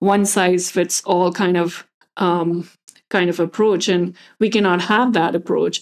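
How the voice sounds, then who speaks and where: Recorded very cleanly against a silent background, a woman uses a normal speaking voice at a medium pitch with fairly even intonation. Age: 30s. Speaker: podcast host and business coach. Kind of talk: solo podcast monologue.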